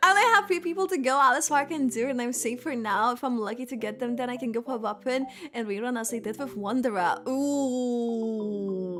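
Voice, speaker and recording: A woman with a Lithuanian accent, high-pitched and animated, fairly quick with hardly any pauses, over noticeable background noise. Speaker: gaming streamer. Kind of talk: casual livestream chat. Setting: livestream.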